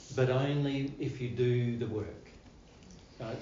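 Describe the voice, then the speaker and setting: A man with an Australian accent and medium pitch, in audible room echo. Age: 60s. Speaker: spiritual teacher. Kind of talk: spiritual talk to live audience. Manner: casual, repetitive phrasing.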